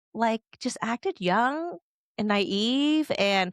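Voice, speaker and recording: A woman speaks in a fairly high pitch with a Californian accent. Her tone is animated and her intonation lively, in a dry, close sound with no echo. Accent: California. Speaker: podcast host. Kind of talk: casual chat.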